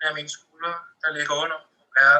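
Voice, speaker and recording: A man talks at a moderate pace in a bright, sharp tone. His pitch is fairly high. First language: Danish. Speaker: poet. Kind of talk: poetry reading.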